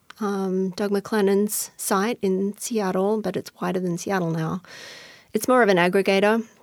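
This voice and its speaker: A woman with an Australian accent, medium in pitch, monotone and flat in intonation, at a moderate pace on a very clean recording with a silent background. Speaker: former arts critic. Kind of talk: interview. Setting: studio.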